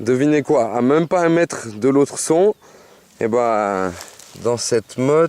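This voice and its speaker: Very slow speech from a man, the sound dry and close with no echo, noticeable background noise behind it. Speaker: metal detectorist. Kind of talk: casual commentary while detecting outdoors. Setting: outdoors. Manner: hesitant, occasional stammering.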